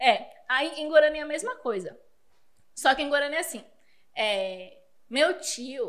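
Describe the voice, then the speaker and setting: A woman with a high pitch speaks at a fairly slow pace, with very wide pitch swings, big swings in loudness, and long, frequent pauses. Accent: Spanish. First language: Spanish (speaking Portuguese). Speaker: teacher. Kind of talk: podcast interview.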